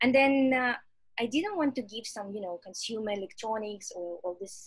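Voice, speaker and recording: Speaking at a moderate pace, a woman with a Russian accent has a fairly high, somewhat breathy voice, ordinary pitch variation and big swings in loudness. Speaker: startup executive. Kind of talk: interview. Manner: halting.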